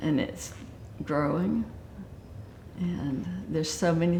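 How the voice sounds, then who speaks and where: A woman with a Southern US accent speaks at a fairly slow pace in a fairly low pitch, her dark, mellow tone carrying vocal fry and ordinary pitch variation. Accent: Southern US (Georgia). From US South, Georgia (Acworth). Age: 70s. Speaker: retiree interviewed for local oral history. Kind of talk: oral history interview.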